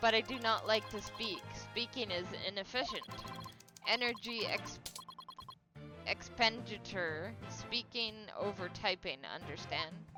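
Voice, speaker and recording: A robotic, put-on character voice that sounds female speaks at a medium pitch and a fairly slow pace. Clear music plays in the background. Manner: flat, terse, dismissive of speaking.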